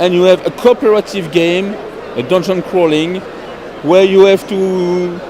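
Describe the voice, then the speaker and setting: With a French accent, a man talks at a high pitch over noticeable background noise. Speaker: board game publisher representative. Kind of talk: product demonstration interview. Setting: busy trade fair. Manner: halting.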